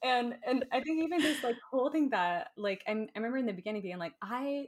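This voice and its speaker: Speaking at a moderate pace with an American accent, a woman has a high pitch. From Florida. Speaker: Enneagram teacher. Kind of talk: casual interview. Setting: video call.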